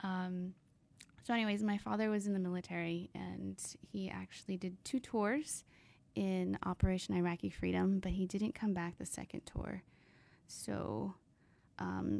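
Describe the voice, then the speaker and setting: Moderate pace in a General American accent. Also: woman. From San Diego, California. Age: 20s. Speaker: podcast co-host. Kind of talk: casual chat. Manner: laughs often.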